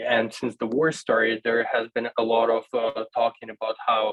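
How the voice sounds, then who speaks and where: Speaking at a fairly slow pace, a man with a Russian accent holds a medium pitch. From Ukraine, Kherson. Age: 20s. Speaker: university student. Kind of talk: panel discussion. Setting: video call. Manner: halting.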